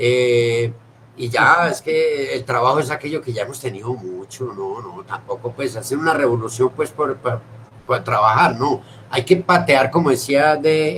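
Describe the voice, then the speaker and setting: Over noticeable background noise, a man talks at a fairly slow pace. His voice is medium in pitch with ordinary pitch variation. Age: 60s. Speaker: theatre director. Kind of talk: casual chat. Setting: video call.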